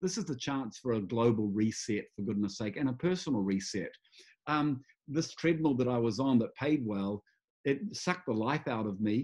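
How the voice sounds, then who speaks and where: The pace is moderate. The intonation is lively. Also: man, medium pitch for a man. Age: 60s. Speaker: music executive and champion sailor. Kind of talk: interview conversation. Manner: halting with fillers; animated.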